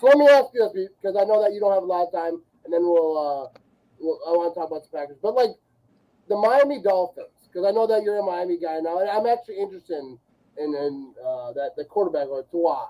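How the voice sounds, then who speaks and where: A loud man's voice, high-pitched yet dark and mellow in tone, with lively intonation at a very fast pace. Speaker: sports podcast host. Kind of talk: casual chat. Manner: stammering repetitions. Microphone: no microphone, yelling into webcam.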